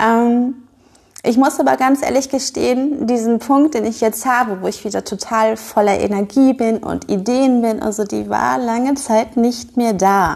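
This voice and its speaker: This is an unremarkable speaking voice from a woman, pitched fairly high with ordinary variation. She speaks at a fairly slow pace. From northern Germany (Schleswig-Holstein). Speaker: podcast host and business owner. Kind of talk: casual monologue.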